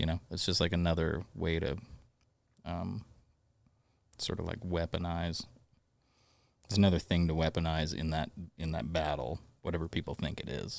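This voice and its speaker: The speech has long, frequent pauses, vocal fry and fairly even intonation. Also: man, very deep, low pitch for a man, moderate pace. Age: 30s. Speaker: musician. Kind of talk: casual chat. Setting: studio. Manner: halting.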